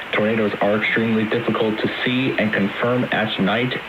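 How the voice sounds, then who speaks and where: Noticeable background noise sits behind this recording. A man speaks at a moderate pace in a fairly low pitch. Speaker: voice actor. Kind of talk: emergency alert broadcast announcement. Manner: calm, formal.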